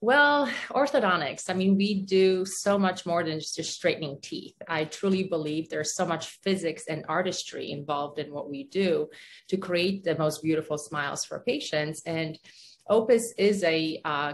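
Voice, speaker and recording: A woman with a Polish accent, fairly low pitch, lively intonation and a moderate pace. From Poland. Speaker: orthodontist, business owner. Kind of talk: casual interview.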